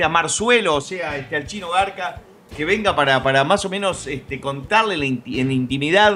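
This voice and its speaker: A man's voice swings very widely in pitch, with noticeable background noise behind him. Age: 30s. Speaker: YouTuber and radio show host. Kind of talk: casual chat. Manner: halting with frequent fillers.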